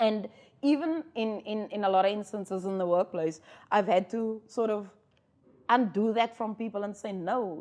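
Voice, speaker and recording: A woman talks with a South African accent. Her pitch is fairly high, and her pace is moderate. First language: Afrikaans. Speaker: podcast co-host. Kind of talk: casual chat.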